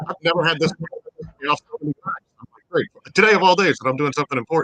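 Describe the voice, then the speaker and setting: The dry, close sound with no echo carries a man's high-pitched voice at a very fast pace, with ordinary pitch variation and big swings in loudness. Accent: American. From St. Charles, Missouri, US Midwest. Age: 30s. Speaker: civic organization president. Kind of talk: interview.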